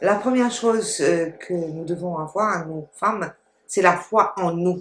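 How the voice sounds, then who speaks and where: This woman talks at a very slow pace. Her pitch sits fairly low. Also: ordinary pitch variation. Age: 60s. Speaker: entrepreneur. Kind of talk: testimony.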